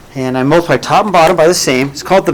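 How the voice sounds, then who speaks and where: The speech has lively intonation, with noticeable background noise behind it. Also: man. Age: 60s. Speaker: math teacher. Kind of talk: classroom lecture. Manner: animated.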